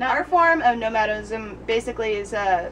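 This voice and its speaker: Noticeable background noise sits behind a woman with a fairly high pitch. She speaks with lively intonation. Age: 20s. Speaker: travel blogger. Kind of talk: casual interview.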